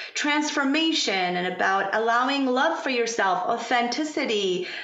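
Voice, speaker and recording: Over noticeable background noise, a woman with a Persian accent speaks at a high pitch with very wide pitch swings. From Iran. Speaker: pharmacist turned yoga instructor and parent coach. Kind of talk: casual interview conversation. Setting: California.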